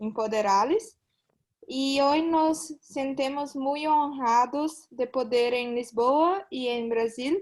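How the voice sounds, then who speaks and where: A woman speaks very slowly in a high voice. Her pitch varies in an ordinary way. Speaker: student association representative. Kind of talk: formal welcome remarks. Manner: halting.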